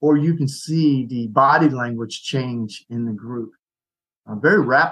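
This man has an ordinary speaking voice at a medium pitch. He talks at a fairly slow pace. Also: ordinary pitch variation. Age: 60s. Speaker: ministry leader, retired soldier. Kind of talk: casual chat.

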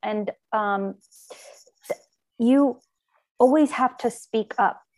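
The sound is dry and close with no echo as a woman speaks with ordinary pitch variation over background music. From Armenia. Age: 30s. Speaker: business owner. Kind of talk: casual interview.

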